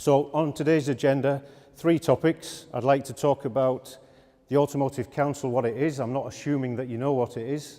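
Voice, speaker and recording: Here a man with a Yorkshire accent has a dark, mellow tone and a medium pitch. He keeps a moderate pace and fairly even intonation. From Yorkshire, northern England. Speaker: automotive industry executive. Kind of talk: conference talk.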